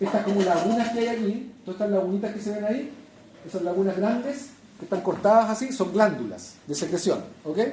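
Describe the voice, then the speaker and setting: A very fast-talking man with a high pitch, ordinary pitch variation, and audible room echo. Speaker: lecturer. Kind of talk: lecture.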